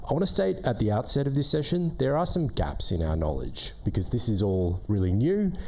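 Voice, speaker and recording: Dark, mellow male voice in an Australian accent, fairly quick, with very wide pitch swings, very even loudness and audible room echo. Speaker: government relations manager. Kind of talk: conference presentation.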